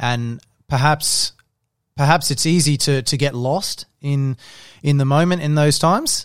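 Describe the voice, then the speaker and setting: At a fairly slow pace, a man talks with a fairly high pitch and fairly even intonation, leaving long, frequent pauses. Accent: Australian. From Adelaide, South Australia. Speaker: professional footballer. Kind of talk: casual interview.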